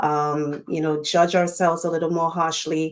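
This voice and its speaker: This woman's pitch is fairly low, and her intonation is monotone and flat. The recording is very clean with a silent background. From Trinidad. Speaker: summit panelist. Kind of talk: panel discussion.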